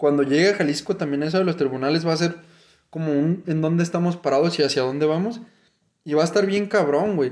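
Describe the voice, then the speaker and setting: A man at a fairly high pitch and very fast pace, very even in loudness, on a very clean recording with a silent background. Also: ordinary pitch variation. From Mexico, Guadalajara. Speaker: podcast co-host, HR recruiter. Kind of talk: casual chat.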